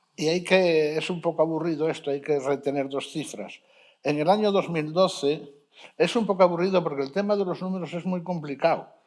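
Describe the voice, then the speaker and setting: Speaking in an Asturian accent, a man uses a high pitch, a fairly quick pace and fairly even intonation. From Asturias, Spain. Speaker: sociologist researcher. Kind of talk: panel discussion. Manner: halting, self-correcting.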